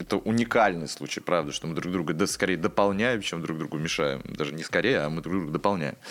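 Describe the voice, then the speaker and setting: Very fast pace with hardly any pauses. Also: man, very deep, low pitch for a man, ordinary pitch variation. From Obninsk, Russia. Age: 20s. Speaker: theater director. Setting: studio.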